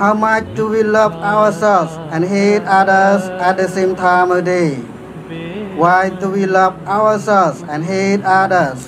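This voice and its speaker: A man pitched high talks very slowly and with fairly even intonation while noticeable background noise carries on. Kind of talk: sermon. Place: street. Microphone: podium.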